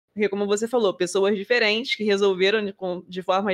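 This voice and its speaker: Very fast speech from a woman at medium pitch, with fairly even intonation. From Rio de Janeiro, Brazil. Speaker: podcast co-host. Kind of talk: casual chat.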